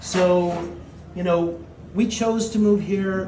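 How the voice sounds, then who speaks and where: Male speech with clear background noise and audible echo from the room. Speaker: mayoral candidate. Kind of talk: campaign speech. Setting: campaign kickoff event with live audience. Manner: loud, projecting to the room; halting, repeats words.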